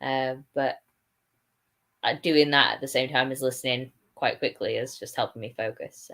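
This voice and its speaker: Her voice is very deep and low. This woman speaks at a moderate pace. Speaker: book youtuber. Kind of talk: casual chat.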